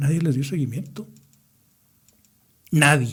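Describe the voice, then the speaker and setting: A man's somewhat breathy, fairly high-pitched voice at a very slow pace. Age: 70s. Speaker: engineer, participant in a historic movement. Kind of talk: radio interview.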